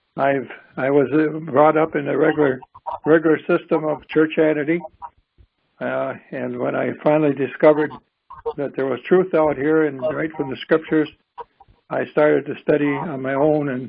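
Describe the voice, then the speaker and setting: Pausing long and often, a man talks at a moderate pace with a fairly high pitch and monotone, flat intonation. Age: 80s+. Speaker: minister. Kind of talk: prayer. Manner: halting.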